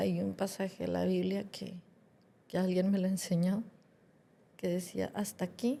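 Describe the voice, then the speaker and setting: A woman talks at a fairly slow pace, her speech broken by long, frequent pauses. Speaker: podcast co-host, granddaughter. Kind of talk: podcast conversation.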